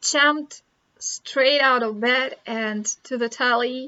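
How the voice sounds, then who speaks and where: This woman has a high-pitched voice. She speaks with a Russian accent. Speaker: vlogger. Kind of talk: casual chat. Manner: halting.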